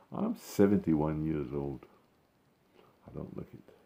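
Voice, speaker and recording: Very deep and low in pitch, a man speaks fairly slowly with vocal fry, a dark, mellow tone and ordinary pitch variation. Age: 70s. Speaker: gardening vlogger. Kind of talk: casual vlog talk to camera. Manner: halting, many fillers.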